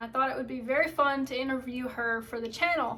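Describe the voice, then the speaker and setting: With an American accent and fairly even intonation, a woman speaks in a high pitch over noticeable background noise. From Southern United States. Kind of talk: casual talk to camera.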